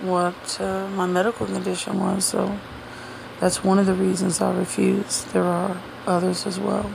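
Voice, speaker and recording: Noticeable background noise runs through the clip. Her speech, a woman's, comes at a moderate pace. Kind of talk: casual talk to camera. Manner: sarcastic.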